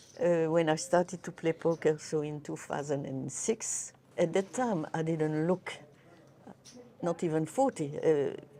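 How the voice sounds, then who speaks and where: A woman's dark, mellow, fairly low voice at a fairly slow pace, with ordinary pitch variation. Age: 80s+. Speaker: poker player. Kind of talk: interview. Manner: halting.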